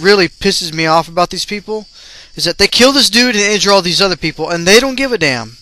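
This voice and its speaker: A man with a high voice speaks at a fairly quick clip, his intonation lively. Noticeable background noise runs underneath. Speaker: gaming video ranter. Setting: home recording while playing a video game.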